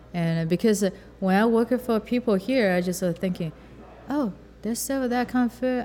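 A woman with a Chinese accent speaks at a fairly high pitch. Her pace is moderate and her pitch variation ordinary. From rural southern China. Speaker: chef and restaurant owner. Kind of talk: interview. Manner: halting.

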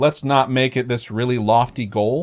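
A man speaks at a medium pitch with ordinary pitch variation in an ordinary speaking voice. The recording is very clean, with a silent background. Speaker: podcast host. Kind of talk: casual banter. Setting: live stream.

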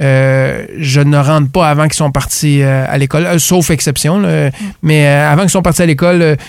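A man speaks with fairly even intonation. His voice is fairly high in pitch. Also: moderate pace, very even loudness. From Quebec, Gaspésie. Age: 40s. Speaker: business owner. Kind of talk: interview. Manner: halting.

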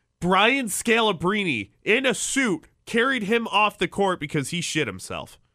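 A man with an American accent projects a raised, bright, sharp voice at a high pitch and with lively intonation. He keeps a fairly slow pace with hardly any pauses, in a very clean recording with a silent background. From Chicago. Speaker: sports podcast host. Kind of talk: casual chat.

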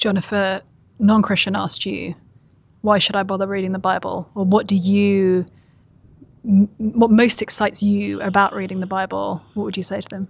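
A woman with a British accent and monotone, flat intonation. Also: medium pitch for a woman, moderate pace. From Britain. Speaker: co-interviewer, writer. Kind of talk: interview.

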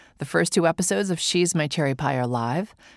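Speaking at a fairly quick pace, a woman uses a very deep, low pitch with lively intonation. The recording is very clean, with a silent background and a dry, close sound with no echo. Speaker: radio host. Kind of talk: scripted intro and casual interview.

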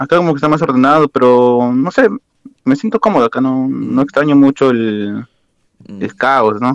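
A man talks with a Lima accent and ordinary pitch variation. The sound is dry and close, with no echo. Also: medium pitch for a man, moderate pace. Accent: Peruvian (Lima) Spanish. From Peru, Lima. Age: 20s. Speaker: university student and amateur footballer. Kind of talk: casual interview.

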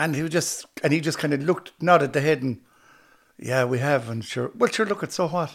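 A man with an Irish accent, fairly high pitch and a fairly quick pace, in a very clean recording with a silent background. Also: ordinary pitch variation. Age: 60s. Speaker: actor and comedian, former musician. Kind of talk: casual interview chat.

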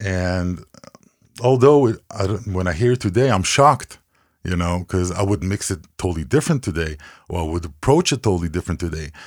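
In a very clean recording with a silent background, a man with an Israeli accent speaks at a fairly quick pace in a very deep, low pitch with lively intonation. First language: Hebrew. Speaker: music producer and mixing engineer. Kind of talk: interview. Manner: halting.

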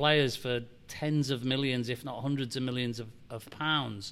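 Ordinary pitch variation runs through a bright, sharp tone. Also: man. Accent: Liverpool. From Liverpool, England. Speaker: football club chief executive. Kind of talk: interview. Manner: halting.

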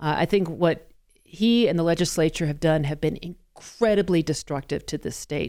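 A fairly low-pitched woman's voice with a General American accent, a dark, mellow tone, ordinary pitch variation and a moderate pace, on a very clean recording with a silent background. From Colorado. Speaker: radio talk show host. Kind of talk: casual chat.

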